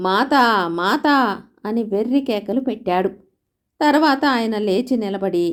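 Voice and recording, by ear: The speaker reads aloud in a natural voice while the background stays quiet.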